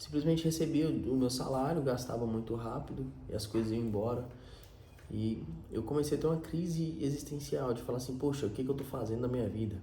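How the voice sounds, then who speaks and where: Speaking at a fairly quick pace, a man uses a medium pitch with ordinary variation. There is audible room echo. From Minas Gerais, Brazil. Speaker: vlogger. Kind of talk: personal storytelling monologue. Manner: casual, with self-repetitions.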